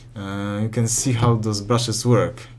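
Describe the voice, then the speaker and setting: Audible room echo surrounds a man talking at a moderate pace with a medium pitch and fairly even intonation. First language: not English. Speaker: modding tutorial youtuber. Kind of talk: tutorial. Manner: halting, many self-corrections.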